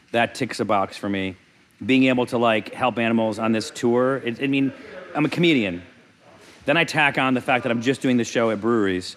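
This man has an ordinary speaking voice, set at a medium pitch with ordinary pitch variation. He talks at a fairly quick pace. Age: 40s. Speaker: comedian. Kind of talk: casual chat.

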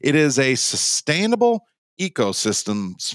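Recorded with a dry, close sound and no echo, a man with an Upper Midwest accent speaks with very wide pitch swings. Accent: Upper Midwest American. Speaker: podcast host. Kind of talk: casual interview chat.

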